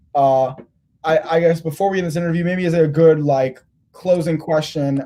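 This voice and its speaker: Talking at a very fast pace, a man has a dark, mellow tone, a fairly high pitch and fairly even intonation. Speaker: basketball interviewer. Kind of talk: casual interview. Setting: live stream. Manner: halting.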